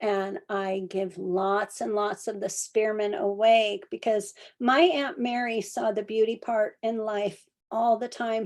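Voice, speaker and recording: At a fairly slow pace, a woman talks in an ordinary speaking voice, fairly high in pitch with ordinary pitch variation, in a very clean recording with a silent background. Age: 60s. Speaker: herbalist. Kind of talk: lecture.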